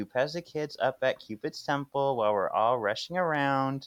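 A man speaks at a moderate pace with a fairly high pitch and an unremarkable speaking voice, recorded dry and close with no echo against a quiet background. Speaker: podcast co-host. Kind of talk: casual chat.

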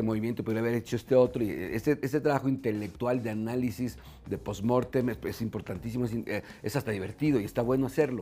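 A man speaks at a fairly quick pace with vocal fry, a medium pitch, ordinary pitch variation and a dark, mellow tone. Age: 50s. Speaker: business consultant and mentor. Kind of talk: casual interview. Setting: restaurant bar. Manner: halting, many fillers.

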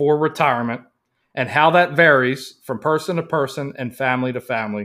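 Over a very clean recording with a silent background, a man with an American accent talks at a moderate pace. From Baltimore, Maryland, US. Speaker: financial planner and podcast host. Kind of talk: podcast intro monologue.

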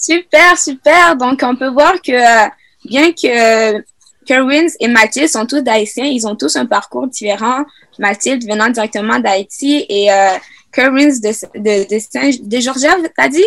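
At a very slow pace, a woman with a high pitch speaks with lively intonation. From Quebec (Sherbrooke), raised from age 8; born Congo. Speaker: youth podcast host. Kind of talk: casual panel discussion; scripted outro.

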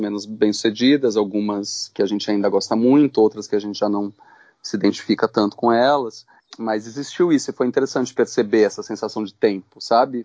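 Using fairly even intonation, a man talks at a fairly quick pace. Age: 40s. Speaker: filmmaker. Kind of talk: interview. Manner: halting.

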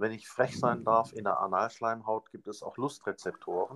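A man's ordinary speaking voice at a moderate pace, with a dry, close sound and no echo. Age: 50s. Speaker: pathologist and parent advocate. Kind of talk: interview.

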